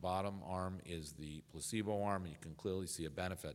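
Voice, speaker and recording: A man with a very deep, low pitch, fairly even intonation and a very fast pace. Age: 50s. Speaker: urologist and medical professor. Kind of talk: lecture. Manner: halting, many filler sounds.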